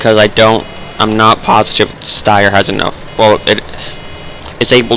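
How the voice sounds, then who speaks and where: Monotone, flat intonation at a fairly quick pace, with noticeable background noise. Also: man. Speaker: gaming youtuber. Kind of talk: let's play gameplay commentary. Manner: halting, self-correcting.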